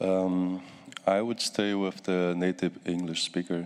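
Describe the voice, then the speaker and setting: Here a man speaks with a non-native accent at a fairly slow pace. His very deep, low pitch stays monotone and flat. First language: not English. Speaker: country delegate. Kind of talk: formal statement. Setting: conference plenary hall.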